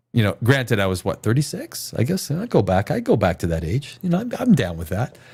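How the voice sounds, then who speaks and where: Talking at a fairly quick pace with hardly any pauses, a man sounds somewhat breathy and swings his pitch very widely on a very clean recording with a silent background. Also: medium pitch for a man. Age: 50s. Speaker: live stream host reviewing movie trailers. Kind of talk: casual live reaction chat.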